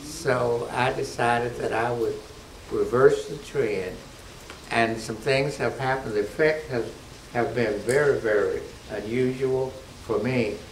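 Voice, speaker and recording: A man's fairly slow speech with long, frequent pauses, audible room echo and noticeable background noise. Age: 70s. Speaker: church member giving diet testimonial. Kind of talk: testimony. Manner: halting.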